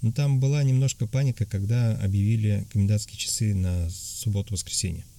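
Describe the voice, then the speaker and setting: This man speaks with a dark, mellow tone, a somewhat breathy quality and ordinary pitch variation. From Tatarstan, Russia. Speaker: emigrant interviewee. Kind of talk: interview. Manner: halting, many fillers.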